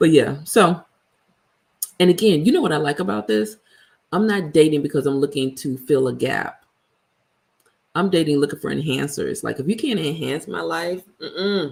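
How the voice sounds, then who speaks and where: A woman's very deep, low voice with vocal fry, an animated tone, lively intonation, and long, frequent pauses. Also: moderate pace. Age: 50s. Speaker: vlogger. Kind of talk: casual livestream chat. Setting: live video stream.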